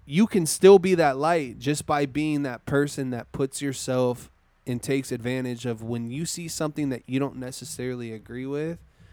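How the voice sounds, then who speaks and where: Speaking at a moderate pace with hardly any pauses, a man's voice carries a dark, mellow tone. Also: medium pitch for a man, ordinary pitch variation. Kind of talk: pep talk. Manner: heartfelt, earnest, fired-up.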